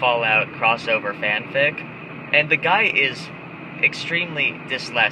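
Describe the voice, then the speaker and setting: Over noticeable background noise, a man talks at a fairly slow pace. His pitch is medium, with ordinary pitch variation. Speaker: webcomic artist. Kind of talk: casual vlog while driving.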